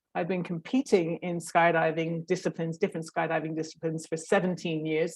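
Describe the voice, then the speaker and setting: A woman's fairly low, monotone, flat voice in a British accent at a very fast pace. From Great Britain. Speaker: professional skydiver. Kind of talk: online workshop talk.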